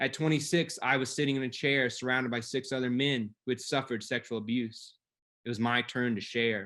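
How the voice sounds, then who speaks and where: Against a quiet background, a man speaks fairly quickly in an unremarkable speaking voice, medium in pitch, with fairly even intonation. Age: 30s. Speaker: abuse survivor storyteller. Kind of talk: personal story read aloud.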